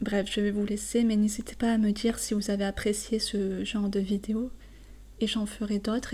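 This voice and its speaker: A woman with a fairly high pitch speaks in a calm, relaxed, dark and mellow tone, somewhat breathy, at a fairly slow pace with monotone, flat intonation. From southern France. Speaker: French teacher. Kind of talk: poetry explanation for learners. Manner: halting with fillers.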